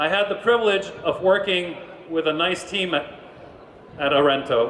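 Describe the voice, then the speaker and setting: A man with a New York accent speaks high-pitched at a moderate pace with ordinary pitch variation. Noticeable background noise and audible room echo fill the recording. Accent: New York American. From US, New York. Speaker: business executive. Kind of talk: keynote speech.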